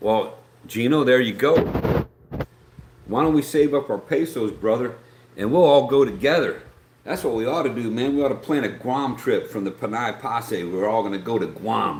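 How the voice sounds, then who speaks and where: A man at a medium pitch with an Appalachian accent, lively intonation and a moderate pace. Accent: Appalachian American. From West Virginia, Greenbrier County. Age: 60s. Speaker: YouTuber live streamer. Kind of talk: casual live stream chat. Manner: rambling conversational, many fillers.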